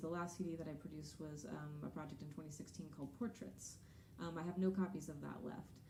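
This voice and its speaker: A woman speaks with an American accent and ordinary pitch variation. Some room echo can be heard. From Texas. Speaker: singer-songwriter. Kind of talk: stage banter between songs. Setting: live concert stage with audience.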